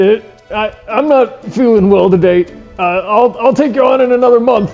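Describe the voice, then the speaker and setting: Over faint music in the background, a man does a put-on character voice that is high-pitched and shaky, at a moderate pace. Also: ordinary pitch variation. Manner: nervous.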